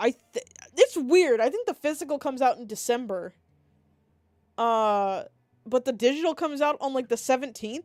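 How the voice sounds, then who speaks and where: The speech comes in a Maryland accent with lively intonation, big swings in loudness and long, frequent pauses, recorded very cleanly against a silent background with a dry, close sound and no echo. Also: woman, high pitch for a woman, moderate pace. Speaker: vtuber streamer. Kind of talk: casual livestream chat.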